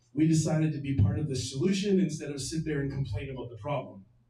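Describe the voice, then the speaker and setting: A man's fairly high, dark and mellow voice at a very fast pace, with ordinary pitch variation and audible room echo. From Victoria, Canada. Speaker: venue owner. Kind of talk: speech to live audience. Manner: loud.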